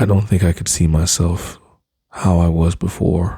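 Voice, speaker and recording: The voice is somewhat breathy, with a gentle, dark, mellow tone, fairly even intonation and a fairly slow pace. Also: man. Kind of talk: ASMR boyfriend roleplay, bedtime talk-to-sleep. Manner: soft, intimate, gentle, slightly hesitant.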